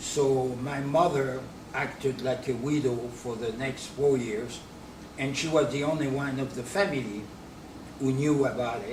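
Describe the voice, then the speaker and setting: At a fairly slow pace, a man speaks with fairly even intonation amid audible room echo and noticeable background noise. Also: medium pitch for a man. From France, Normandy. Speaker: businessman and D-Day memorial supporter. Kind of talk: interview.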